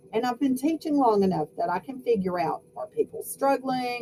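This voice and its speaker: Against noticeable background noise, a woman with an American accent speaks fairly quickly, her pitch swinging very widely. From US South. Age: 50s. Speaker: sociology professor. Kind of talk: lecture. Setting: home video recording. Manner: animated.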